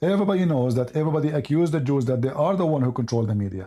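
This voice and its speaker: Recorded very cleanly against a silent background, a man with an Arabic accent speaks in a somewhat breathy voice with lively intonation. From Middle East. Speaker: debate show host. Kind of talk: heated debate. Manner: animated.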